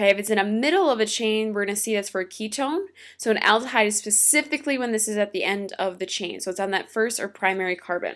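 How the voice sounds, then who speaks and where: In a normal speaking voice, a woman talks at a fairly quick pace and fairly high pitch with ordinary pitch variation, recorded very cleanly with a silent background. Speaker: teacher. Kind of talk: lecture.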